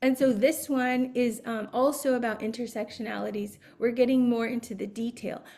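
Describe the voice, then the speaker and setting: A woman with an American accent speaks in a fairly high voice at a moderate pace. Her intonation is fairly even. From Arizona, US Southwest. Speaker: behavior analyst and Montessori educator. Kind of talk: webinar presentation. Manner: hesitant, many fillers.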